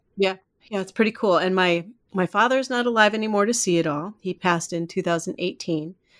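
On a very clean recording with a silent background, a woman with an American accent speaks in a plain, everyday voice at a fairly quick pace, medium pitch, and ordinary pitch variation. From US Midwest (Iowa). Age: 50s. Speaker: life coach. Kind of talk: casual chat.

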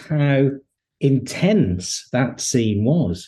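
A man's somewhat breathy voice, dark and mellow in tone, rises and falls with lively intonation. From English Midlands, Hednesford, Staffordshire. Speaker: TV and novel writer, former journalist. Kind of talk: interview conversation. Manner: hesitant, many fillers and repetitions.

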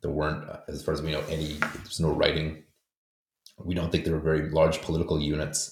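Talking very fast with an American accent, a man delivers a very deep, low voice that is somewhat breathy and monotone, flat in intonation. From US, with schooling in Poland. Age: 40s. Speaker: historian and author. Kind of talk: interview.

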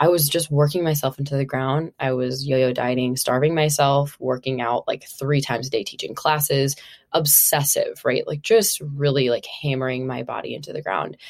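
A woman's very deep, low pitch with an American accent, fairly even intonation, a moderate pace and hardly any pauses. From Minnesota. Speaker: body image coach. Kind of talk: casual interview.

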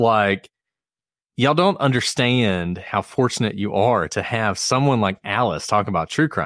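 Lively intonation marks this man's unremarkable speaking voice, which sits at a medium pitch and moves at a fairly slow pace in a dry, close sound with no echo. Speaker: former prosecutor and true crime podcast co-host. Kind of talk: casual chat. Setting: online video call. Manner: jokey.

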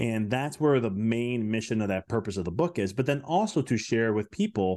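Against a quiet background, a man with an American accent speaks at a very fast pace in a dark, mellow tone, with medium pitch and lively intonation. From US Midwest, Chicago. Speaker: business mindset coach and chiropractor. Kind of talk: podcast interview.

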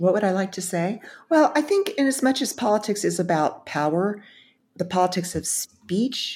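On a very clean recording with a silent background, a woman with an American accent speaks at a fairly quick pace and medium pitch, somewhat breathy and with lively intonation. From Texas, Dallas. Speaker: speechwriter and public speaking consultant. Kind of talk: interview conversation.

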